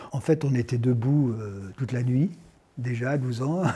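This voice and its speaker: A man speaks at a fairly slow pace with a medium pitch, a dark, mellow tone, a somewhat breathy quality and ordinary pitch variation. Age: 60s. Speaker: actor and climate activist. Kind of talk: interview testimony. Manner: hesitant, many fillers.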